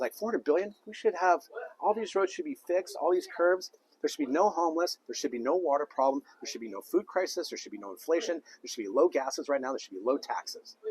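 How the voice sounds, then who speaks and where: Recorded dry and close with no echo, a man talks very fast in an animated tone, his volume swinging widely. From Southern California, Thousand Oaks. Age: 50s. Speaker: political candidate. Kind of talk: interview. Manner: hesitant.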